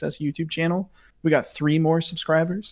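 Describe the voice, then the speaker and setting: Fairly high-pitched for a man, he speaks quietly at a very fast pace. The recording is very clean, with a silent background. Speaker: podcast co-host. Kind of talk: casual chat. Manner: quiet voice.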